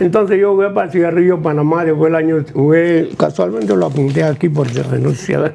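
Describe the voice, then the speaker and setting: Over noticeable background noise, a man with a fairly high pitch speaks at a fairly quick pace, his loudness very even, his pitch variation ordinary, and hardly any pauses. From Panama. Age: 90s. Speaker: retired basketball player. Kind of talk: interview. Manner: halting.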